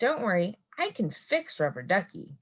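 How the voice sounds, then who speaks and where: Using a rumbling, put-on character voice of medium pitch, a woman speaks at a moderate pace. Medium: read story. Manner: grumbling.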